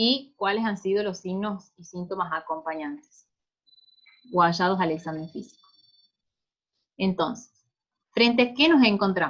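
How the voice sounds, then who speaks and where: Fairly slow and full of long, frequent pauses, a woman's medium-pitched voice shows big swings in loudness. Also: ordinary pitch variation. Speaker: pediatric resident doctor. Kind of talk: clinical case presentation lecture.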